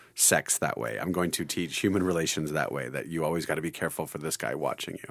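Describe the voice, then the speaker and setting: Over a very clean recording with a silent background, a man with a very deep, low pitch and vocal fry speaks very fast in a monotone, flat intonation. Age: 40s. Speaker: high school Bible teacher. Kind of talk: casual chat. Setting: studio.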